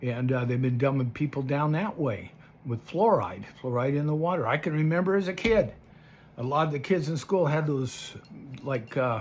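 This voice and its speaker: Somewhat breathy, a man with a fairly high pitch speaks at a moderate pace with lively intonation. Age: 70s. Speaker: political commentator vlogger. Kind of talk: casual monologue. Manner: halting.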